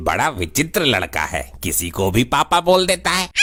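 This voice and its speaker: A man puts on a cartoonish character voice at medium pitch. He talks at a moderate pace. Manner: bemused, nosy.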